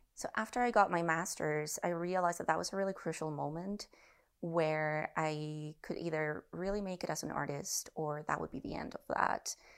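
Recorded very cleanly against a silent background, a woman with a Spanish accent speaks at a fairly low pitch and a moderate pace with ordinary pitch variation. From Mexico, central (north of Mexico City). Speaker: visual artist and curator. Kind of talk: casual interview conversation.

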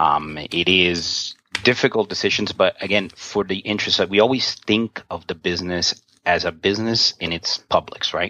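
A moderate pace and ordinary pitch variation with an American accent. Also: man, fairly low pitch for a man. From New York. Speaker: game store owner. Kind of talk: interview. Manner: halting.

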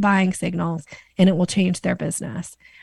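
In an American accent, a woman speaks at a moderate pace and medium pitch, sounding somewhat breathy. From US Northwest, Boise, Idaho. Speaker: sales coach and author. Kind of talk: interview.

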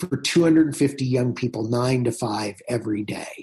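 A somewhat breathy man with an American accent. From US Midwest, southern Indiana. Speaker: pastor. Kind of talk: interview conversation.

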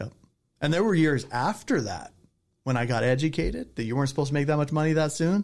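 With an American accent, this voice moves at a fairly quick pace, shows vocal fry, and swings very widely in pitch. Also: man. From Southern California. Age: 40s. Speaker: real estate entrepreneur. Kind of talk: casual interview chat.

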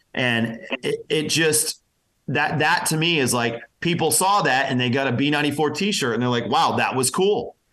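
An unremarkable speaking voice from a man with an American accent, fairly high in pitch for a man, with ordinary pitch variation, very even loudness and a moderate pace. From Pennsylvania. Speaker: radio personality. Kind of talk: interview.

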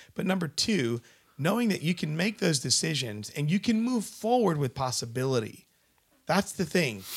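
Fairly high male voice at a moderate pace, with very wide pitch swings. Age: 30s. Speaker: podcast host. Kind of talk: casual interview. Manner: animated.

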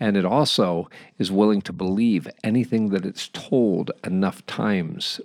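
At a fairly slow pace, a man with a normal speaking voice speaks at a fairly low pitch with ordinary pitch variation. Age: 50s. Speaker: podcast host. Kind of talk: monologue.

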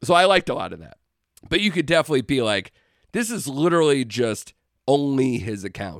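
A man speaks in an animated tone at a fairly high pitch. His pitch swings very widely, and his loudness rises and falls sharply. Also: fairly quick pace. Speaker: podcast co-host. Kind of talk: casual chat.

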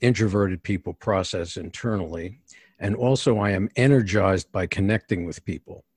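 Somewhat breathy and set in a dry, close sound with no echo, a man with a New York accent talks at a moderate pace in a fairly low pitch with ordinary pitch variation, captured in a very clean recording with a silent background. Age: 60s. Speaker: executive coach. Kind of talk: interview. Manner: direct.

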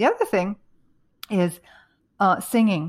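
Here a woman with a plain, everyday voice speaks at medium pitch with ordinary pitch variation, on a very clean recording with a silent background and a dry, close sound with no echo. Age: 60s. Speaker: author and health coach. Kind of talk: interview.

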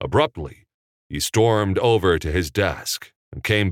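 Someone is reading aloud in a natural voice, pitch varying in an ordinary way, with a quiet background.

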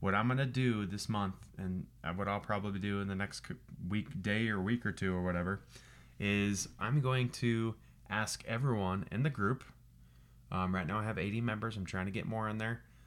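A man speaks in a plain, everyday voice at a fairly low pitch, with ordinary pitch variation and a moderate pace. The recording is very clean, with a silent background. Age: 30s. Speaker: podcast host, life coach and firefighter. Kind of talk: motivational monologue. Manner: casual, with many fillers and repeats.

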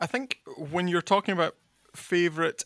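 Speaking at a fairly quick pace with a west of Scotland accent, a man has a bright, sharp tone and fairly even intonation, captured dry and close with no echo on a very clean recording with a silent background. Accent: west of Scotland Scottish. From Scotland, Kintyre. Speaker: agricultural consultant and podcast host. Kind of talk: interview monologue.

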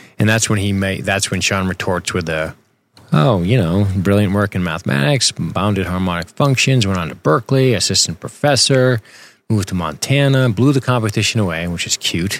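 A man with an unremarkable speaking voice talks at a fairly quick pace, his fairly low pitch carried by lively intonation. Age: 40s. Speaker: podcast host. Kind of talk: casual chat.

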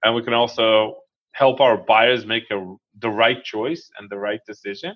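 In an Israeli accent, a man speaks at medium pitch and a moderate pace. His pitch variation is ordinary. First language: Hebrew. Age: 40s. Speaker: real estate investor. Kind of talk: interview.

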